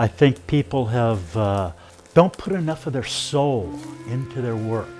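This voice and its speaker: Music plays in the background as a man speaks at a medium pitch. His pace is fairly slow and his intonation lively. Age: 60s. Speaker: wood sculptor. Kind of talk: personal reflection.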